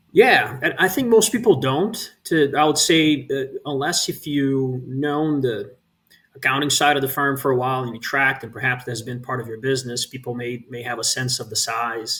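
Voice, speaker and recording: A man with a Brazilian accent talks at a moderate pace and medium pitch. His pitch variation is ordinary, with big swings in loudness. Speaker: real estate investment executive. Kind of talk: interview conversation.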